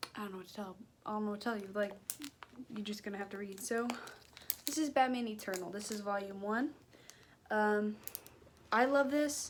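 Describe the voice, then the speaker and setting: Amid noticeable background noise, a woman with an American accent talks at a fairly quick pace with long, frequent pauses, her fairly high pitch showing ordinary variation. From Cincinnati, Ohio. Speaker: YouTuber. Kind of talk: casual haul video chat. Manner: halting, filler-heavy.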